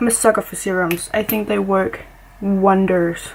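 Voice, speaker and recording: A woman talks fairly slowly, her intonation fairly even, as noticeable background noise plays behind her. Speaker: beauty vlogger. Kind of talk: get-ready-with-me tutorial. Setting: home makeup spot.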